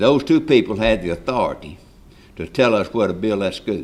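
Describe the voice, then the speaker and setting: A man speaks with a West Tennessee accent. His pitch is fairly low. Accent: Southern US (West Tennessee). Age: 80s+. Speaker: local resident, former county official. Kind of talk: public comment at town meeting. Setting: public meeting hall. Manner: halting, repetitive.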